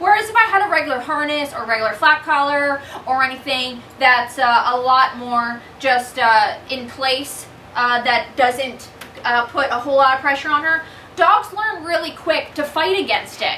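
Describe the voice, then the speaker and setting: A raised, projected voice comes through at a moderate pace, with audible room echo and light background noise. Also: woman. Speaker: dog trainer. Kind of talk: tutorial. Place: home room. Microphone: camera far.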